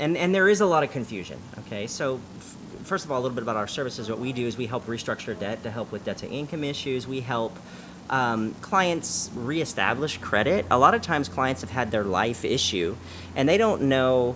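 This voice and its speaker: Through noticeable background noise, a man with an American accent speaks at a medium pitch. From Southern California, San Diego. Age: 40s. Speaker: credit restoration company owner. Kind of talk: interview. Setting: cafe. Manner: fast.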